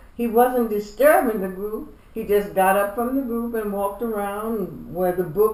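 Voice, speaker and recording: A woman's fairly high voice moves at a moderate pace with ordinary pitch variation. There is noticeable background noise. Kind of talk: interview answer.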